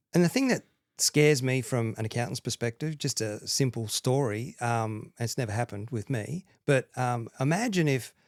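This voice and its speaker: Recorded very cleanly against a silent background, with a dry, close sound and no echo, a man with an Australian accent talks at a moderate pace with ordinary pitch variation. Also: medium pitch for a man. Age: 50s. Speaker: accountant and mortgage lender. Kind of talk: podcast interview.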